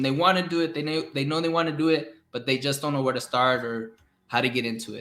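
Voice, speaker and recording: A man with a bright, sharp tone and a fairly high pitch talks at a fairly quick pace with ordinary pitch variation. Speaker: podcast host. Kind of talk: casual interview. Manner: mumbling.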